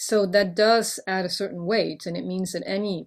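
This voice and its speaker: A woman with a medium-pitched voice speaks at a moderate tempo. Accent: French. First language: French. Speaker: poet and professor. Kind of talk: interview.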